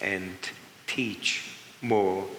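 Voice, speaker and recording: Noticeable background noise and audible room echo accompany a man speaking. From Germany, Berlin. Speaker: Holocaust survivor and magician. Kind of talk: Q&A interview. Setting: museum stage with audience.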